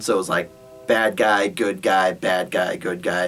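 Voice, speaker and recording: A man puts on a character voice that is raspy and fairly low in pitch. He speaks at a moderate pace. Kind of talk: casual anecdote retelling. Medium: solo performance. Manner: rambling, filler-heavy, laughing.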